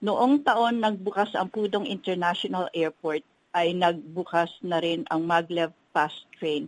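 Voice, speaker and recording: A woman speaks at a fairly slow pace in an unremarkable speaking voice. Her pitch sits fairly low and varies in an ordinary way. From Philippines. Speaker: hotel executive. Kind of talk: interview.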